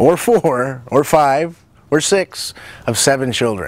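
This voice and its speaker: The man speaks with lively intonation in a fairly high pitch. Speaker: nutrition coach and cooking show host. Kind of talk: personal introduction to camera. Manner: fast; animated.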